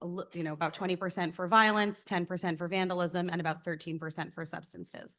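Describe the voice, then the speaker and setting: Monotone, flat intonation against a quiet background. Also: woman. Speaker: school district administrator. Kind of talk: presentation of report data. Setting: school board meeting. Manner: loud.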